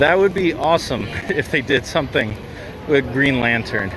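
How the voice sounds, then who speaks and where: Noticeable background noise is heard behind a man. He has a fairly high pitch and lively intonation. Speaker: theme park vlogger. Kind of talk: livestream walking commentary. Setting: outdoors in theme park. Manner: loud, raised voice.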